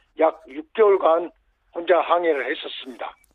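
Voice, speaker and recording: A man is speaking. His pitch is high. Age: 70s. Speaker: yacht explorer. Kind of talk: radio interview. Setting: phone call.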